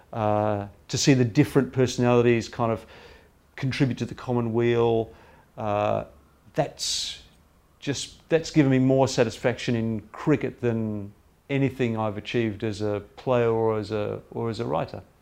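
Fairly even intonation in an Australian accent at a moderate pace, on a very clean recording with a silent background. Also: man. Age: 50s. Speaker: cricket writer. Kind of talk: interview.

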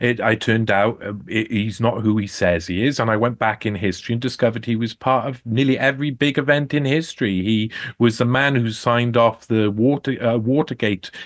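A man with a Welsh accent talks at a fairly quick pace, barely pausing, his pitch sitting in the middle range. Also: ordinary pitch variation. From South Wales, Cardiff. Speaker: investigative journalist. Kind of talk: radio interview. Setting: remote call-in.

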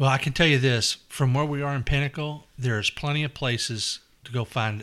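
Someone speaks with a Kentucky accent at a fairly quick pace with ordinary pitch variation. The recording is very clean, with a silent background. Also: man. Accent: Kentucky Southern US. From Louisville, Kentucky. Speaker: neighborhood resident. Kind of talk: casual chat.

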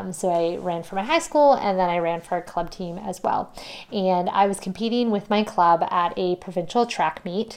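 A woman with a normal speaking voice and a Canadian accent talks at medium pitch and a moderate pace with ordinary pitch variation. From Ontario, Canada. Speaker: podcast host. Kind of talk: solo podcast monologue.

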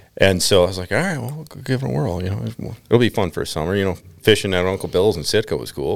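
On a very clean recording with a silent background, a man with a very deep, low pitch and vocal fry speaks at a fairly quick pace through very wide pitch swings. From Minnesota. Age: 30s. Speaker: fly fisherman. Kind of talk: casual chat.

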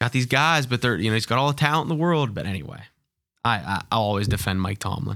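In a very clean recording with a silent background, a man talks very fast at a medium pitch, his tone bright and sharp, his intonation lively, and his loudness swinging widely. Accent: Pittsburgh. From Pittsburgh. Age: 30s. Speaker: former sports PR staffer. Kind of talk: casual chat.

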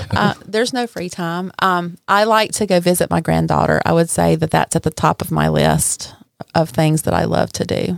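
A woman talks at a moderate pace in a strong Southern US accent. The sound is dry and close, with no echo. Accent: deep Southern US. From Mississippi, US South. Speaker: caterer and restaurant owner. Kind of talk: casual interview chat.

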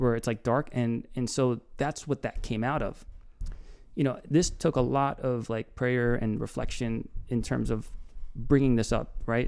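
In a plain, everyday voice, a man speaks at a moderate pace with medium pitch and fairly even intonation. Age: 30s. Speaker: podcast host. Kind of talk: casual chat.

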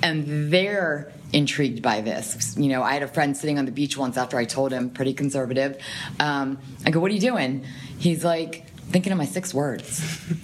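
A woman talks in a very deep, low voice. Background noise is noticeable behind her. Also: ordinary pitch variation. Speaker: nonprofit communications professional. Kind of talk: casual interview conversation. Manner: fast talker.

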